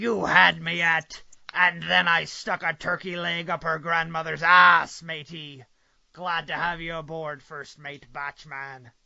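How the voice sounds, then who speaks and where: The put-on character voice comes through at a fairly unhurried pace. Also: man, high pitch for a man. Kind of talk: stage pirate talk. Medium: read story. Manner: swaggering, says "matey".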